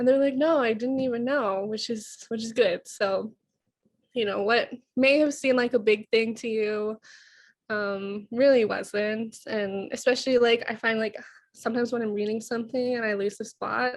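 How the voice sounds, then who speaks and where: A woman speaks at a fairly high pitch and a moderate pace. Her intonation is fairly even, and the background is quiet. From Siksika First Nation, Alberta, Canada. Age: 20s. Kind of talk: presentation in a sharing circle. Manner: shaky voice when public speaking.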